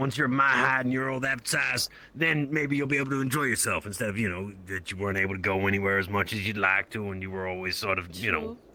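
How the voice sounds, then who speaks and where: A man puts on a raspy character voice with a fairly low pitch. He talks at a very fast pace over light background noise. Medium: actual play. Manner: casual, friendly.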